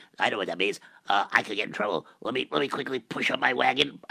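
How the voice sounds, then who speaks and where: The sound is close and dry, without any echo. It is a man who speaks. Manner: flustered, fast, nervous.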